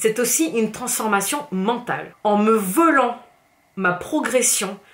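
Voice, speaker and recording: Speaking at a fairly slow pace, a woman uses a fairly high pitch with very wide pitch swings and an animated tone. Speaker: fitness coach and youtuber. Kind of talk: angry vlog rant.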